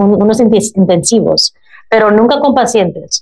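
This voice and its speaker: Fairly slow speech from a woman, medium in pitch. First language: English (speaking Spanish). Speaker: drug policy activist and chaplain. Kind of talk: interview. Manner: halting, searching for Spanish words.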